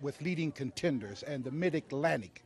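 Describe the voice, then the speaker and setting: The sound is dry with no echo, with light background noise behind it. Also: man. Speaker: wrestling manager. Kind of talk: wrestling promo interview. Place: studio. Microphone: handheld.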